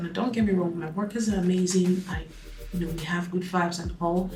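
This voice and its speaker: A soft-spoken woman at medium pitch, monotone and flat, with audible room echo and noticeable background noise. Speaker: beauty and lifestyle vlogger. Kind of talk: casual vlog talk to camera. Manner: trying to speak softly and calmly; tends to rush sentences.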